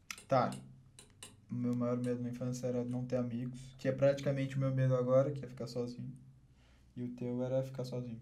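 Against audible room echo, a man with a dark, mellow tone talks at a fairly quick pace in a monotone, flat intonation, leaving long, frequent pauses. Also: medium pitch for a man. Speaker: podcast host. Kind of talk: casual chat; sponsor read.

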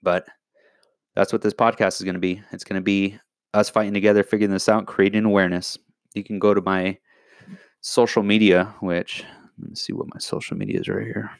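A fairly low-pitched man speaks at a fairly quick pace with long, frequent pauses, in a very clean recording with a silent background and a dry, close sound with no echo. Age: 30s. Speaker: podcast host, health industry worker. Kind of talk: solo podcast monologue. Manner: animated ranting.

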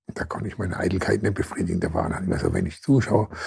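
A man with a very deep, low pitch and a somewhat breathy voice, at a fairly quick pace. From Germany, Mannheim. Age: 70s. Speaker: former boxer and social worker. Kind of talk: interview. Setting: studio. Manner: halting, repetitive.

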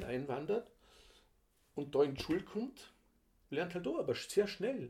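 A man's voice is somewhat breathy, with a dark, mellow tone. His intonation is lively. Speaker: podcast co-host, father of the other host. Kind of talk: casual chat.

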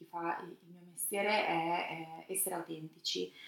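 There is noticeable background noise. A woman speaks at a moderate pace, her intonation fairly even. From Romagna, Italy (Brisighella, near Tuscan border). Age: 40s. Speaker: food journalist and magazine publisher. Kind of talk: interview.

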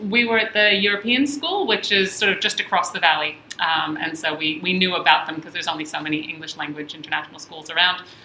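A woman with an American accent, fairly low in pitch with ordinary pitch variation, at a very fast pace with hardly any pauses, over noticeable background noise. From Israel-born, American parents. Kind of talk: casual chat. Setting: studio.

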